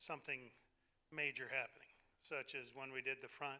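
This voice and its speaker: Loud and bright with a sharp tone, a man speaks at a moderate pace. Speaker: church leader presenting budget. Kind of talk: congregational meeting report. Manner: hesitant with fillers.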